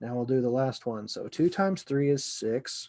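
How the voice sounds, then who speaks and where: Mumbling, a man with a dark, mellow tone speaks with lively intonation on a very clean recording with a silent background. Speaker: computer science lecturer. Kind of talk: lecture. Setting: recorded video lesson. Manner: mumbling to himself; casual, conversational.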